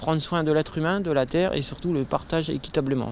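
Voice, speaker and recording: With ordinary pitch movement, a man gets his words out at a fairly brisk clip. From northeastern France. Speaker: permaculture association founder. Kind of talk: interview. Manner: hesitant.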